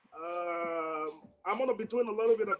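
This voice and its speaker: A man speaks with a Nigerian accent. Music plays in the background. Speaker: livestream broadcast host. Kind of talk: casual, broken English.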